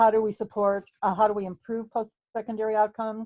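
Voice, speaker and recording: Very fast speech from a woman with a dark, mellow tone, dry and close with no echo, over a quiet background. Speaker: researcher presenting a study. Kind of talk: research presentation.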